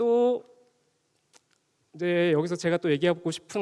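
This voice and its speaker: A man speaks in a high voice with ordinary pitch variation, recorded dry and close with no echo. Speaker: lecturer presenting research at a forum. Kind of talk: conference presentation. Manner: speeding up, rushed for time.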